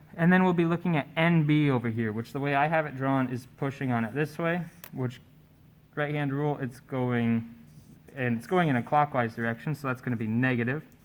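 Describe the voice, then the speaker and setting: Heard in a very clean recording with a silent background, a man with a fairly high pitch talks at a fairly quick pace with ordinary pitch variation. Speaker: tutor leading a statics study session. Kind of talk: tutorial. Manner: loud.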